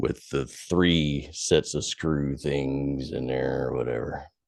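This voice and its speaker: A man's very deep, low voice with vocal fry, fairly even intonation and a very slow pace. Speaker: former rock band singer and tattoo artist. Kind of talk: casual chat. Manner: pushes words out with diaphragm.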